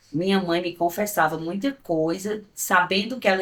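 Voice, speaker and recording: A woman's fairly low voice moves with ordinary pitch variation. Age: 60s. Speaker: businesswoman and senior blogger. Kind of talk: documentary interview testimony.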